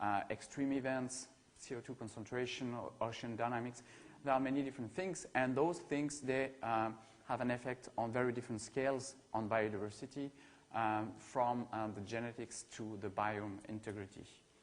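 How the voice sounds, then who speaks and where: A man with a French accent, at a moderate pace and with fairly even intonation. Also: medium pitch for a man. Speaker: ecology researcher. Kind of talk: academic seminar talk. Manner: hesitant, many fillers and repetitions.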